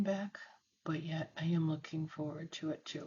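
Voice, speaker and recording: Soft-spoken and somewhat breathy, a woman talks at a fairly slow pace in a fairly low pitch with ordinary pitch variation. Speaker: scrapbook crafter and tutor. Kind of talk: craft tutorial chat.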